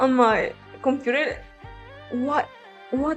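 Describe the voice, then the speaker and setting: Over music in the background, a woman with a high voice speaks at a very slow pace. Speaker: digital artist. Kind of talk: casual talk to viewers.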